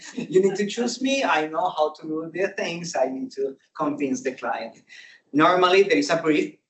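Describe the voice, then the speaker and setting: Speaking with a Spanish accent, a man uses a high pitch with very wide pitch swings at a moderate pace. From Colombia. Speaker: service designer. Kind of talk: conference talk. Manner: halting, many fillers.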